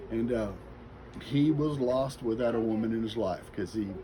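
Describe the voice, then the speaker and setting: A voice with an American accent and audible room echo. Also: man. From US Midwest, Kansas City suburbs. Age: 60s. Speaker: interviewee sharing life story. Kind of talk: interview, personal life story.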